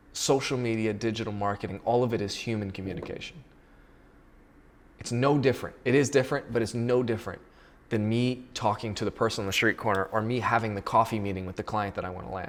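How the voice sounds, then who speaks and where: Talking at a very fast pace, a man with a medium-pitched voice keeps an animated tone. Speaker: digital marketing consultant. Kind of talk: solo talking-head monologue. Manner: animated, repetitive restarts.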